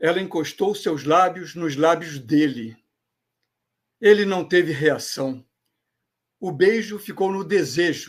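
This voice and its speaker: A man's high-pitched voice at a very slow pace, ordinary pitch variation and long, frequent pauses, in a very clean recording with a silent background. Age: 70s. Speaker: storyteller. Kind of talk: storytelling.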